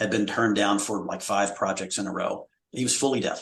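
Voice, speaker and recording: A man's fairly low voice at a very fast pace. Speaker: accessibility product manager. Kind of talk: live webinar discussion.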